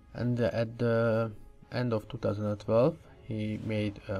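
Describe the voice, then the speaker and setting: A man speaks at a fairly slow pace and a medium pitch, with music playing in the background. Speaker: gaming commentator. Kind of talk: casual commentary talk. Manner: hesitant, many filler sounds.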